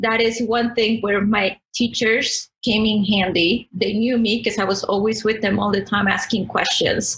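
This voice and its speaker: A woman's fairly high voice with fairly even intonation at a fairly slow pace. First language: not English. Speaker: podcast guest. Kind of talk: interview.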